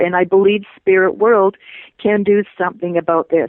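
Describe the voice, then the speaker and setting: Speaking at a fairly slow pace, a woman uses a normal speaking voice. Her pitch is medium. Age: 60s. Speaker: author. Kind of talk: interview.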